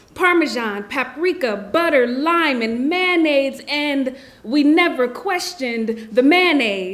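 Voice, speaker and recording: A woman at a fairly slow pace, lively intonation, audible room echo around her. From South Central Los Angeles. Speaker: spoken word poet. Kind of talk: poetry reading. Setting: stage with audience.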